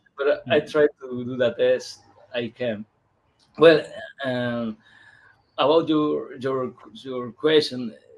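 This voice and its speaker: With a Peruvian accent, a man speaks at a very slow pace and medium pitch, keeping a fairly even intonation and leaving long, frequent pauses. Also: big swings in loudness. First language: Spanish. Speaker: comic book illustrator. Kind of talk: interview. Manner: halting, slow.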